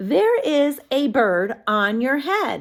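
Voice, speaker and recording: Raising and projecting her voice, a woman performs a put-on character voice at a high pitch. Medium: read story. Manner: casual, upbeat.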